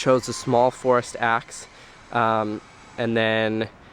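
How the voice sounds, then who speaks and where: A man's medium-pitched voice stays monotone and flat while noticeable background noise runs underneath. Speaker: travel vlogger / student. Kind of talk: travel vlog. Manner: hesitant, many fillers.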